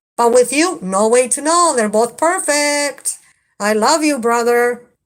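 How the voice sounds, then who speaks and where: Speaking with a strong Spanish accent, a woman uses a high pitch and lively intonation at a fairly slow pace. The recording is very clean, with a silent background. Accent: heavy Spanish. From Mexico. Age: 50s. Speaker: livestreamer. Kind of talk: live stream chat. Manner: halting.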